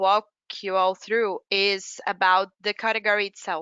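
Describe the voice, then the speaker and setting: A woman speaks with a Brazilian Portuguese accent. Her pace is fairly slow. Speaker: category manager. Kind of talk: business presentation.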